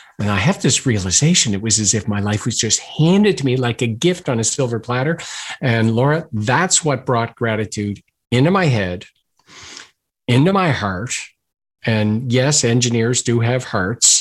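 With a Maritime Canadian accent, a man talks at a moderate pace and medium pitch, his intonation lively over a quiet background. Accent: Maritimes Canadian. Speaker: gratitude expert and author. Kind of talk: interview conversation.

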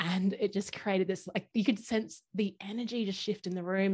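This woman has a medium-pitched voice with an Australian accent. The background is quiet. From Brisbane, Australia. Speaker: workshop facilitator, podcast guest. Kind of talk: casual, enthusiastic conversation. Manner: fast talker.

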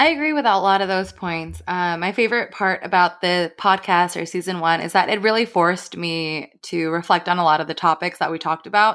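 A woman with an ordinary speaking voice talks at a fairly low pitch and a fairly quick pace, with ordinary pitch variation and hardly any pauses, in a very clean recording with a silent background. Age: 30s. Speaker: podcast co-host, healthcare professional. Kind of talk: casual chat.

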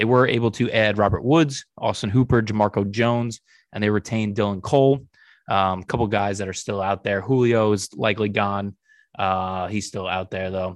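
A man with an unremarkable speaking voice talks at a fairly low pitch with fairly even intonation. The background is quiet. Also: moderate pace. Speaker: sports podcast host. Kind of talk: casual chat. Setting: online call.

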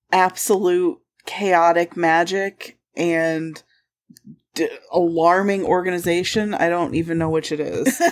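A woman's fairly low voice at a very slow pace. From Michigan. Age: 30s. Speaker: podcast co-host. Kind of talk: casual chat.

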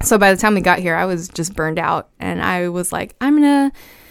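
Here is an ordinary speaking voice: a woman at medium pitch with lively intonation and a moderate pace. The recording is very clean, with a silent background. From US South, Brownsville, Texas. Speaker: former teacher and coach. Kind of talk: casual interview. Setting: podcast studio.

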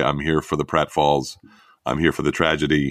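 In a very clean recording with a silent background, a man speaks with an American accent. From New York suburbs. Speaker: dad blogger and summit founder. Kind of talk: casual interview. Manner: stammering.

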